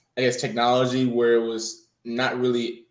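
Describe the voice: With an American accent, a man talks at a medium pitch, and the room echo is audible.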